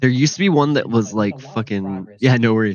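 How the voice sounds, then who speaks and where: A man mumbles at a moderate pace, his medium-pitched voice carrying lively intonation. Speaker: comics podcast co-host. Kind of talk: casual chat. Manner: mumbly.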